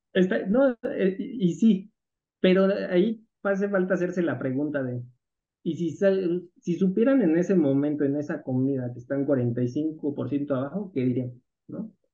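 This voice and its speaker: A man with a dark, mellow tone and a high pitch for a man speaks at a fairly slow pace, his intonation lively. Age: 30s. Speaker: algorithmic crypto trader and entrepreneur. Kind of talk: interview conversation.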